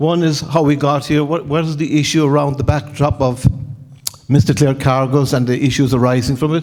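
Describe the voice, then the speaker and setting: Fairly quick speech with an Irish accent and fairly even intonation. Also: man. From Ireland. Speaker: insurance loss prevention director and former mariner. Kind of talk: conference talk. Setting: stage with audience. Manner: fast.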